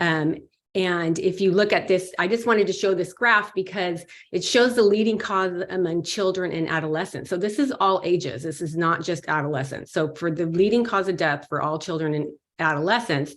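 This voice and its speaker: A woman's normal speaking voice, fairly low in pitch, with ordinary pitch variation and a moderate pace. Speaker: pediatrician. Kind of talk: panel discussion. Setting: video call.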